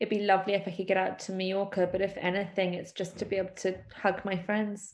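A woman in a London accent, medium pitch, fairly quick, with monotone, flat intonation. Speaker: PR agency owner. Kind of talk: casual interview.

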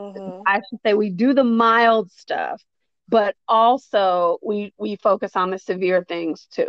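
A woman with a normal speaking voice and an American accent speaks fairly slowly at medium pitch, with fairly even intonation. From US Midwest, south side of Chicago. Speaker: licensed therapist. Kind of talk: casual interview chat.

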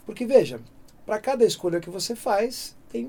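Very wide pitch swings mark this man's dark, mellow voice. He speaks at a fairly slow pace. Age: 50s. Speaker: music producer. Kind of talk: interview. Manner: halting.

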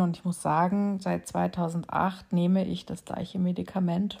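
A woman speaks with a fairly low pitch and a dark, mellow tone. Her voice is somewhat breathy. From Bavaria, Munich. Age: 40s. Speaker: podcast host. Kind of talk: personal monologue. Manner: hesitant with filler sounds.

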